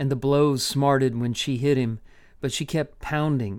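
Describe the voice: The clip features plain reading aloud. Its intonation is fairly even.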